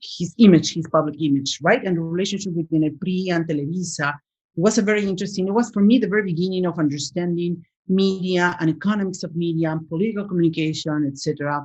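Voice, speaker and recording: Somewhat breathy, a woman with a Spanish accent speaks at a very fast pace with a fairly low pitch and ordinary pitch variation. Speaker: professor. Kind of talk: interview. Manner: halting, many fillers.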